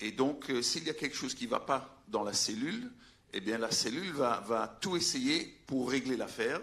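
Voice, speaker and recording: A man speaks with a bright, sharp tone, a fairly high pitch, and lively intonation. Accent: Belgian. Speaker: veterinarian, conference speaker. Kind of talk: conference talk. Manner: halting, many hesitations.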